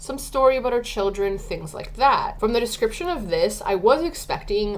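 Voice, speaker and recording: A high-pitched woman speaks with very wide pitch swings amid noticeable background noise. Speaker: book reviewer. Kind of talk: casual talk to camera.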